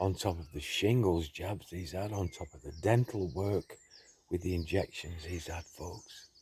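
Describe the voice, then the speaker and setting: This man's voice is very deep and low, somewhat breathy, with ordinary pitch variation. He speaks at a fairly slow pace, and his loudness swings widely. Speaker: conspiracy vlogger. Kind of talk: casual monologue to camera. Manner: quiet, kept low.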